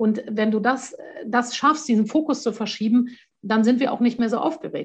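A woman talks in a high voice with very even loudness and fairly even intonation against a quiet background. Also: moderate pace. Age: 40s. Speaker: courage trainer and author. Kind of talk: casual interview.

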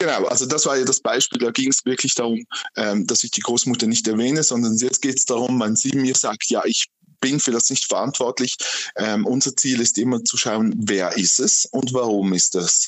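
Speaking at a moderate pace and medium pitch, a man with a normal speaking voice keeps very even loudness and ordinary pitch variation. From Switzerland, canton Aargau. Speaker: medium and ghost hunting club chair. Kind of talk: interview.

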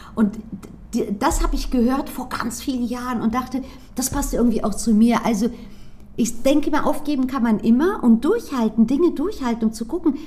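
The speech moves at a moderate pace with ordinary pitch variation while noticeable background noise is heard. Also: woman, high pitch for a woman. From Frankfurt am Main, Germany. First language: Greek (speaking German). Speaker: sales trainer and former startup founder. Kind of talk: interview.

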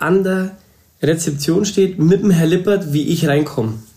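A man speaks with a dark, mellow tone and ordinary pitch variation. Audible room echo surrounds his voice. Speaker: hairdresser and salon owner. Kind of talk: casual interview.

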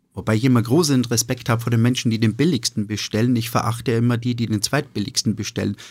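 Very fast talk from a man at medium pitch, with fairly even intonation and hardly any pauses. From Austria, eastern Styria. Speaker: restaurateur and sommelier. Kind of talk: casual interview. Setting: studio. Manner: hesitant, many fillers.

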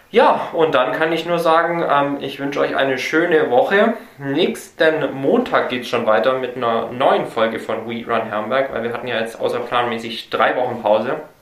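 Amid noticeable background noise and audible room echo, a man speaks with hardly any pauses at a medium pitch with ordinary variation. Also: moderate pace. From Germany, Swabia (Herrenberg). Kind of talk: casual chat.

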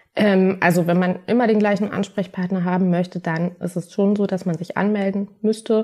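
The tone is dark and mellow, delivered in a flat monotone at a moderate pace. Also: woman, medium pitch for a woman. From Berlin, Germany. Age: 30s. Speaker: patient support worker with MS. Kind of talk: interview.

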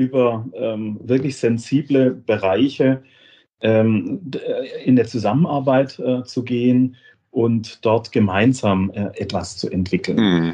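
A man's medium-pitched voice, dark and mellow in tone, at a very slow pace. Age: 50s. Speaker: software company managing director. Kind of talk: interview. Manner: halting, many repetitions and fillers.

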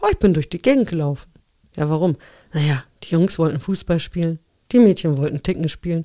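In a dry, close sound with no echo, a woman with a dark, mellow tone and fairly low pitch talks at a fairly quick pace, breaking often for long pauses, her pitch varying in an ordinary way. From Poland (Upper Silesia), moved to Germany at 11. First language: Polish (speaking German). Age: 40s. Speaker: interview guest. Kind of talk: casual interview.

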